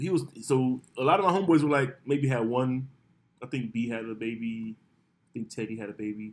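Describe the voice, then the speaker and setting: A man with an ordinary speaking voice talks at a fairly quick pace and a medium pitch, with ordinary pitch variation. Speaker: podcast host. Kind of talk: casual chat. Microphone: far from the mic.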